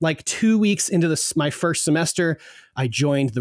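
With lively intonation and a fairly quick pace, a man in an American accent uses an ordinary speaking voice on a very clean recording with a silent background. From US, southern New Jersey. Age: 20s. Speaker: podcast producer. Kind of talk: casual interview chat.

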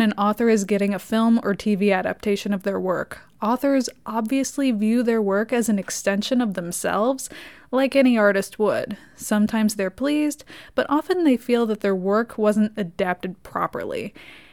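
A woman's ordinary speaking voice at a moderate pace, with ordinary pitch variation, hardly any pauses and a very clean recording with a silent background. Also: fairly high pitch for a woman. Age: 20s. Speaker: podcast host and film reviewer. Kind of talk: solo film review podcast. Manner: casual, sarcastic.

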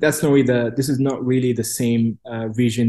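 This dark, mellow voice moves at a moderate pace with monotone, flat intonation against a quiet background. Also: man. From Cairo, Egypt. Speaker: policy expert and think tank director. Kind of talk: interview answers, analytical.

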